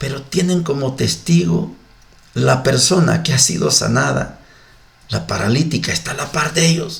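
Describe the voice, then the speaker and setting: A man speaks at a fairly slow pace. The room echo is audible, and background noise is noticeable. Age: 60s. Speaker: religious radio host. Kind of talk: scripture reflection. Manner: animated.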